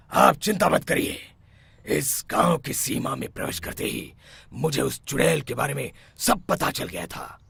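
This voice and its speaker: A raspy cartoonish character voice with big swings in loudness. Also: man, fairly high pitch for a man, moderate pace. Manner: authoritative, calm.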